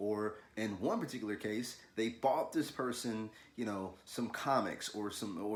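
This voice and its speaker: The pace here is moderate. It's a man with an American accent. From US South, Louisville, Kentucky. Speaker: artist, illustrator. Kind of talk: casual video talk, art tutorial intro. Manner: casual, halting with fillers and repeats.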